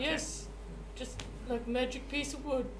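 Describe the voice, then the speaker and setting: Over loud background noise, someone performs a put-on character voice at a fairly slow pace. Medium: actual play.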